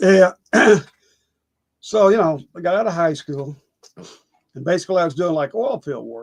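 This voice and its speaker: With a Texan accent, a man speaks at a high pitch and a moderate pace, using lively intonation, big swings in loudness and long, frequent pauses. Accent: Texan Southern US. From East Texas. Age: 70s. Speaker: actor. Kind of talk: casual interview.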